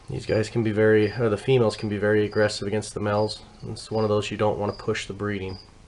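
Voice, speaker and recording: Someone speaks at a very fast pace, with noticeable background noise behind them. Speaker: tarantula breeder. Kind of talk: tutorial. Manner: halting.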